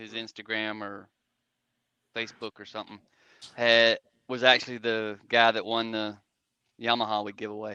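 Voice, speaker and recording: A man speaks with a Southern accent in a bright, sharp tone. His pitch is medium and his pace fairly slow. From South Georgia / North Florida. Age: 50s. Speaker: Army veteran, motorcycle rider and truck driver. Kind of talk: casual chat.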